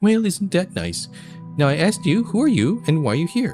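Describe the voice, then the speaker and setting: Putting on a character voice, a man talks fairly quickly in a high pitch with very wide pitch swings as faint music plays in the background. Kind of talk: curt, sarcastic.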